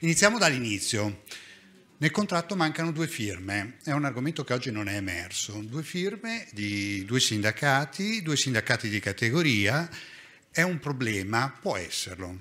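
Bright and sharp in tone, a man at medium pitch talks at a moderate pace, his pitch swinging very widely. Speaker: hospital nursing director; conference speaker. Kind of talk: conference talk. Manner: lively. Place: hall. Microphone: podium.

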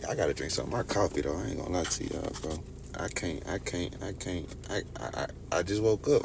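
A man speaks very fast with a very deep, low pitch and lively intonation. Noticeable background noise runs behind him. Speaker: livestreamer. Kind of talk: casual livestream chat. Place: car. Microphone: phone near.

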